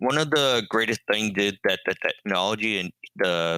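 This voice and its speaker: A man's voice, fairly low in pitch. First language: sign language. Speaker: deaf-blind educator and marathoner. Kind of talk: interview. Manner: many filler ums.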